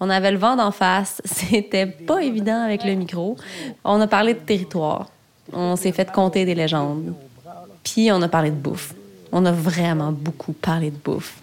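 Amid noticeable background noise, the speaker talks in a Quebec accent at a fairly slow pace with ordinary pitch variation. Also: woman, medium pitch for a woman. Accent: Québécois French. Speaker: podcast host, media founder. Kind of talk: documentary narration. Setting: outdoors.

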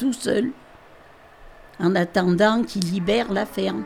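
The speech comes at a very slow pace. Noticeable background noise can be heard. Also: woman. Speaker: farmer. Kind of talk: interview.

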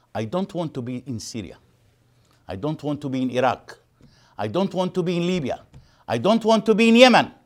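The speaker's pitch swings very widely. Long pauses come often. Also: man, high pitch for a man. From East Jerusalem, Palestinian. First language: Arabic. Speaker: human rights activist. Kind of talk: lecture. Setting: stage with audience.

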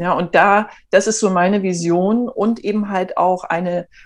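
A woman talks at a very slow pace. Her pitch sits at a medium level. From eastern Germany, Erfurt. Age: 40s. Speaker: entrepreneur, network marketer. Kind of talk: interview. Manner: animated.

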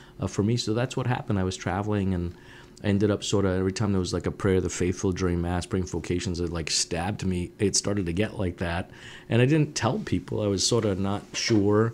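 Speaking very fast in a New England accent, a man keeps a fairly low pitch with ordinary variation. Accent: New England American. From Woonsocket, Rhode Island (French-Canadian family). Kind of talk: interview.

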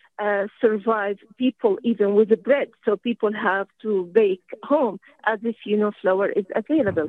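With an Arabic accent, a woman speaks at a fairly slow pace and fairly high pitch, her pitch varying in an ordinary way and hardly any pauses between words. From Syria. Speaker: academic. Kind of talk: radio call-in comment.

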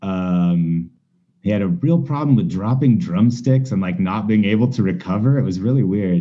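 A plain, everyday voice speaks at a moderate pace. Its intonation is lively. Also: man, fairly low pitch for a man. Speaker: punk band singer. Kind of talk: casual chat. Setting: video call.

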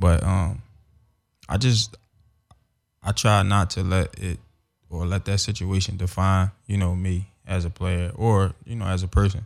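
Fairly slow pace with long, frequent pauses and fairly even intonation, in an American accent. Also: man, very deep, low pitch for a man. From Philadelphia, US. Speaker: former pro football player. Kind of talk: casual interview. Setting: studio.

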